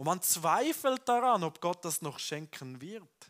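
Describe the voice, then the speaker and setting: Very slowly and in a warm tone, a man speaks with very wide pitch swings against a quiet background. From Switzerland. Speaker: pastor. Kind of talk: sermon. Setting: church with congregation. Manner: conversational, warm, earnest. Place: church. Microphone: headset.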